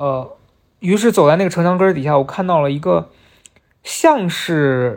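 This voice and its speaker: Fairly slow speech, the recording very clean against a silent background. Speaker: podcast host. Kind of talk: solo personal storytelling monologue.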